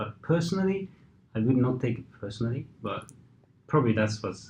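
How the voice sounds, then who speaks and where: A man speaks at a fairly quick pace with a medium pitch and lively intonation. His voice is somewhat breathy, with big swings in loudness. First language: Japanese and Hungarian. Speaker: equity trader. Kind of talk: interview answer.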